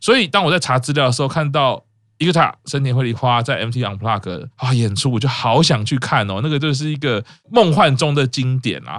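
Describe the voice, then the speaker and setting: A man with an unremarkable speaking voice talks at a fairly quick pace and a medium pitch, with ordinary pitch variation. The recording is very clean, with a silent background. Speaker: podcast host. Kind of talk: casual chat.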